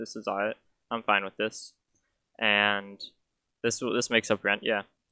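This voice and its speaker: The recording is very clean, with a silent background. A man talks at a fairly low pitch. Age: 20s. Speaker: vlogger. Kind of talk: personal testimony vlog. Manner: halting, many fillers.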